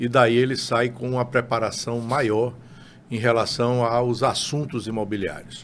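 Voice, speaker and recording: A man talks fairly slowly at a medium pitch, his intonation monotone and flat. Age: 60s. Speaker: real estate broker. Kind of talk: interview.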